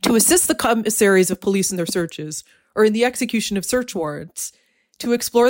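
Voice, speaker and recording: With lively intonation, a woman uses a normal speaking voice in a very clean recording with a silent background. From Canada. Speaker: true crime writer and editor. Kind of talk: interview conversation.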